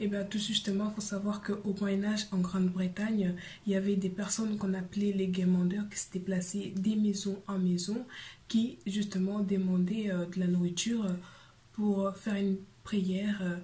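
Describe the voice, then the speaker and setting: The voice is soft-spoken and somewhat breathy, with monotone, flat intonation. It keeps a moderate pace, and audible room echo is present. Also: woman, medium pitch for a woman. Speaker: YouTuber. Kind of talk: explainer video.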